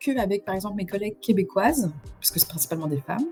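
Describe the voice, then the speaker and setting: Over background music, a woman talks at a very fast pace. Her medium-pitched voice has lively intonation. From France. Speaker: streamer. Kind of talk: casual live stream talk. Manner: hesitant, many fillers and repetitions.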